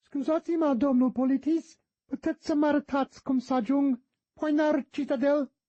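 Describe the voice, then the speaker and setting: Someone talks fairly quickly in a high-pitched, put-on character voice. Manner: mocking, mimicking.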